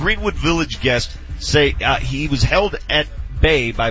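Music plays in the background as the man talks fairly slowly. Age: 40s. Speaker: sports radio host. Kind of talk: casual chat. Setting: live broadcast from a training facility.

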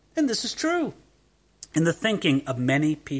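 Very clean and silent in the background, the recording captures a man with an American accent, a bright, sharp tone and very wide pitch swings. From US, Southern California. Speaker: pastor. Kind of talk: sermon.

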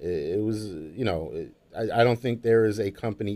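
A man with an American accent has a dark, mellow tone and ordinary pitch variation. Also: very clean recording, silent background. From Brooklyn, New York. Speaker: HR executive. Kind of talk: casual interview.

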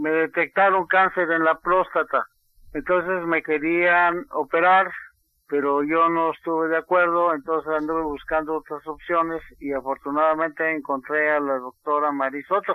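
This man has a fairly high pitch. His intonation stays monotone and flat. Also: moderate pace. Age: 80s+. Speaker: tailor and cancer survivor. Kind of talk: testimony. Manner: halting.

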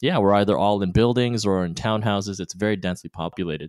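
Talking at a very fast pace with a Canadian accent, a man with a fairly low voice and ordinary pitch variation comes through dry and close with no echo, on a very clean recording with a silent background. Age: 30s. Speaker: newlywed husband. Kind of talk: casual interview.

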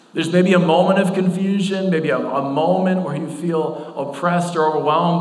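Over noticeable background noise, a man with a fairly high voice talks at a moderate pace with ordinary pitch variation. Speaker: pastor. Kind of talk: sermon. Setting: church. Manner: not loud.

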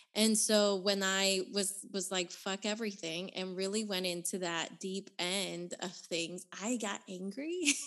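A woman with a plain, everyday voice and an American accent, medium in pitch, at a fairly slow pace with fairly even intonation and hardly any pauses. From Nicaragua, raised in the US. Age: 30s. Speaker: author and activist. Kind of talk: casual interview chat.

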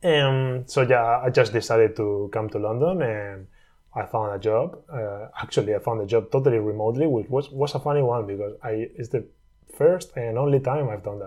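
Fairly quick in pace, this somewhat breathy voice carries ordinary pitch variation. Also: man, medium pitch for a man. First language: not English. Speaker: software engineer and entrepreneur. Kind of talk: casual chat.

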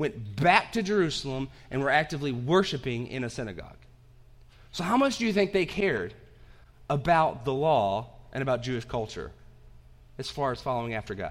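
Pitch swings very widely in this man's voice. He speaks at a fairly quick pace. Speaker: pastor. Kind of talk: sermon. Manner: halting, with fillers.

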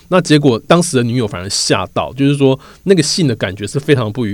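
A man's unremarkable speaking voice at medium pitch, at a fairly quick pace. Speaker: podcast host and magazine reporter. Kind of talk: narrated storytelling podcast. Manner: frequent filler words.

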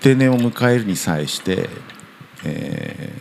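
Over noticeable background noise and audible room echo, a man talks at a very slow pace. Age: 60s. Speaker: guesthouse owner. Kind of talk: interview. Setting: old house.

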